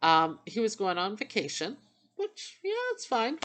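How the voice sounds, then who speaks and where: The pitch swings very widely against a quiet background. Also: woman. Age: 50s. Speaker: vlogger sharing dental journey. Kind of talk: casual vlog monologue. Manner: rambling conversational, with fillers.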